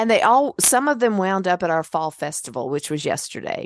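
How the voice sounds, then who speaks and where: Against a quiet background, a woman's animated voice at a medium pitch moves at a fairly quick pace with very wide pitch swings, the sound dry and close with no echo. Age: 60s. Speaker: podcast host and memoir author. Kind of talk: casual interview conversation. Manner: animated storytelling.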